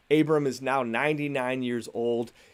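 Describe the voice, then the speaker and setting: This man has an unremarkable speaking voice with a fairly high pitch and a moderate pace. The recording is very clean, with a silent background. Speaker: pastor. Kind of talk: sermon.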